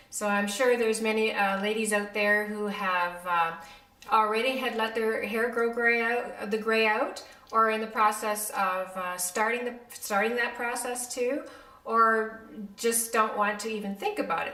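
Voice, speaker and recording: Amid noticeable background noise and audible room echo, a woman talks at a moderate pace with fairly high pitch and fairly even intonation. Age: 60s. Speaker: beauty vlogger, makeup artist. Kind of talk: casual vlog talk to camera. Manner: many fillers (um, uh).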